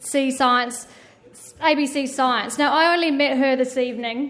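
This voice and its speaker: In a high-pitched voice, a woman speaks at a moderate pace with fairly even intonation. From New Zealand. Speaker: event organiser introducing moderator. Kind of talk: formal introduction speech.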